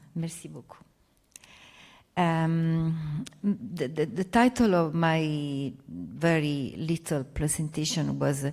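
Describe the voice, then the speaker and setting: With long, frequent pauses and big swings in loudness, a woman speaks at a very slow pace in a very deep, low pitch with ordinary pitch variation. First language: not French (speaking French). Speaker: academic researcher. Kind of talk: panel presentation.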